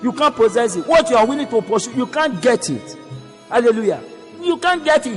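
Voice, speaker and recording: With music in the background, the voice makes very wide pitch swings. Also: man. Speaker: preacher. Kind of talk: sermon.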